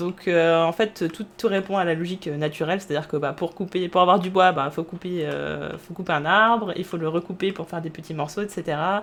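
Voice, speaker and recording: Her voice sits at a fairly low pitch for a woman, and she talks at a fairly quick pace with fairly even intonation. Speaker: streamer. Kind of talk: live gameplay commentary. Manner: fast; halting, many fillers.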